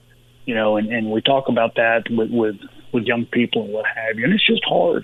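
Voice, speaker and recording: A monotone, flat delivery in a Texan accent. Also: man. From Texas, Uvalde. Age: 60s. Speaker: retired football player and sports agent. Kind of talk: interview. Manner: halting, many repetitions.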